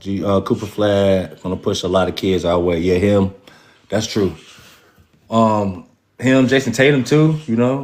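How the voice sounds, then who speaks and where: A man with an American accent, very deep and low in pitch, with ordinary pitch variation. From North Carolina, Raleigh. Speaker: basketball fan show host. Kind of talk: casual livestream chat. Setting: livestream with viewer comments.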